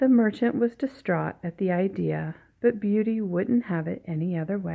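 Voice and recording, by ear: A natural voice, reading aloud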